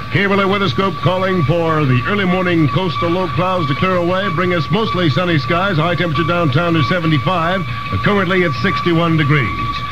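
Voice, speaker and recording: A man's high-pitched voice with an American accent, ordinary pitch variation, very even loudness and a fairly quick pace, with music in the background. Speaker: radio newscaster. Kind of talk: radio newscast reading. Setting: vintage 1960s radio broadcast recording.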